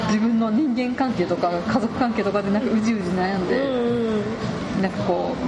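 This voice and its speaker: Amid crowd noise in the background and audible room echo, a woman speaks at a fairly high pitch. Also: very even loudness. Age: 30s. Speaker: podcast co-host. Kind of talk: casual chat. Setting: cafe bar. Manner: animated.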